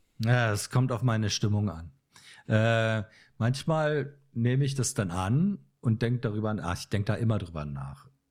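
A man with a plain, everyday voice speaks at medium pitch and a moderate pace with lively intonation, recorded very cleanly against a silent background. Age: 50s. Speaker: photographer and musician. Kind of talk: casual chat.

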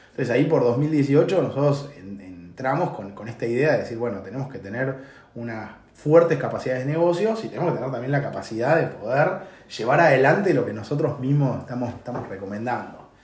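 A man talks at a fairly quick pace and medium pitch, with lively intonation and big swings in loudness. There is audible room echo and noticeable background noise. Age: 40s. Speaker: tech consulting CEO. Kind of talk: interview. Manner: halting.

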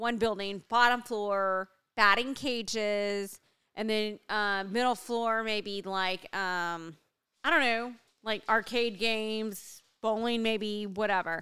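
A loud woman speaks very slowly with a bright, sharp tone and a fairly high pitch in a very clean recording against a silent background. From US, Mexican-American heritage. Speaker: podcast co-host. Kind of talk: casual chat. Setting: home recording.

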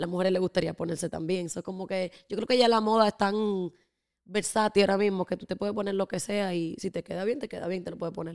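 A woman's normal speaking voice at a medium pitch, with ordinary pitch variation, a fairly quick pace, and a dry, close sound with no echo. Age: 20s. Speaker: entrepreneur and influencer. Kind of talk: casual chat.

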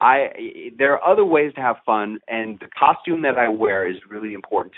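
This man speaks with hardly any pauses, his pitch swinging very widely and his loudness rising and falling in big swings. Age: 50s. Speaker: media trainer and TV personality. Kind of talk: interview.

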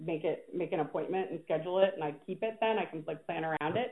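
A woman speaks in a plain, everyday voice of medium pitch with ordinary pitch variation. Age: 30s. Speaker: PR agency founder and CEO. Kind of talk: interview.

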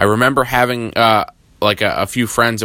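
Clear, smooth and also bright and sharp in tone, a man's voice sits at a fairly low pitch.

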